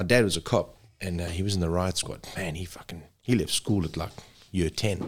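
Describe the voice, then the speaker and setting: Here is a man with a South African accent and a very deep, low pitch. The recording is very clean, with a silent background. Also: fairly even intonation, moderate pace. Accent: English-speaking South African. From South Africa (Zululand). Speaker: rescue helicopter paramedic. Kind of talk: casual chat.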